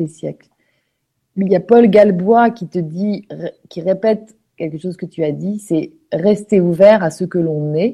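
Very slow and marked by long, frequent pauses, a woman's voice sits at a medium pitch. Her tone is dark and mellow. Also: ordinary pitch variation. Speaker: online radio host. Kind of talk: casual interview. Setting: live online broadcast.

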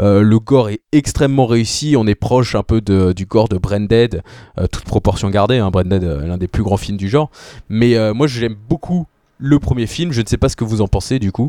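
Male voice, fairly low in pitch with a dark, mellow tone, ordinary pitch variation and a moderate pace, dry and close with no echo, on a very clean recording with a silent background. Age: 20s. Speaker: film podcaster. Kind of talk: casual chat.

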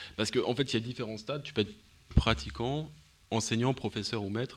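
A man speaks with vocal fry. His pace is moderate. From Paris. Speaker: martial arts practitioner. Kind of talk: interview.

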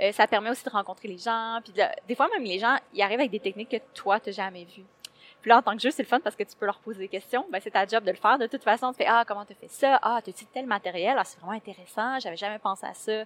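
In a dry, close recording with no echo, a woman talks very fast at a fairly high pitch, with ordinary pitch variation and big swings in loudness. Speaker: cosplayer. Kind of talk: interview. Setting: convention floor.

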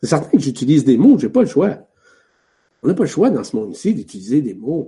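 This man has a fairly high pitch with very wide pitch swings and vocal fry. His tone is dark and mellow, and his pace fairly quick. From Quebec. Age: 60s. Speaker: spiritual teacher. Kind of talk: spiritual teaching.

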